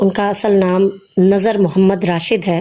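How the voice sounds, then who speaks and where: Woman at a medium pitch amid noticeable background noise. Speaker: Urdu lecturer. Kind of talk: lecture introduction.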